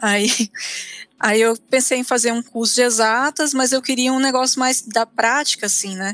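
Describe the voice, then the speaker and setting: Recorded with a dry, close sound and no echo, a woman speaks at a high pitch and a moderate pace with fairly even intonation. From Brasília, Brazil. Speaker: theologian. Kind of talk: interview.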